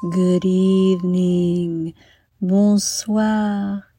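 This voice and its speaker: Music plays behind a woman. Her tone is warm and soothing. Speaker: guided meditation host for kids. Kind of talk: guided bedtime meditation for children, scripted. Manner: soft, slow, soothing, gentle; warm, storytelling, dreamy.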